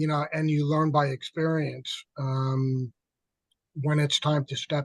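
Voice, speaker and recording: A man's somewhat breathy voice comes across in monotone, flat intonation with a dry, close sound and no echo. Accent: American. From New York. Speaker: peer specialist. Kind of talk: webinar discussion. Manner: halting.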